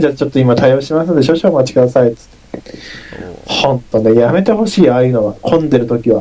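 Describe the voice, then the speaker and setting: Over noticeable background noise, a man with a fairly high pitch rattles along at a very fast pace with lively intonation. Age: 20s. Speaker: university student. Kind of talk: casual chat.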